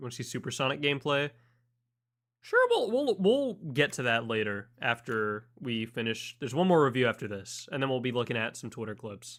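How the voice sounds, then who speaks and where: At a fairly quick pace, a man speaks at a medium pitch in a plain, everyday voice. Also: ordinary pitch variation. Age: 18. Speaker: streamer. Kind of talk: live stream reaction.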